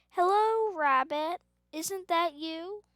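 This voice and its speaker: In a put-on character voice, a woman pitches her speech extremely high. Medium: read story. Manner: simple, mild.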